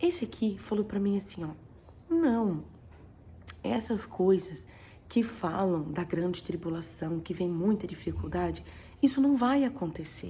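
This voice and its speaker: Soft-spoken, a woman talks in a dark, mellow tone with vocal fry. Her intonation is lively, broken by long, frequent pauses. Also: medium pitch for a woman, fairly slow pace. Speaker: vlogger sharing a dream. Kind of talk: personal testimony. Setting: at home.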